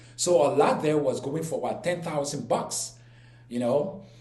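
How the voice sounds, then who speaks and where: A man with a Liberian accent talks at a moderate pace and a fairly high pitch. Noticeable background noise and audible room echo fill the recording. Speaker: YouTuber. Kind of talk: personal storytelling vlog. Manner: halting, many fillers and repeats.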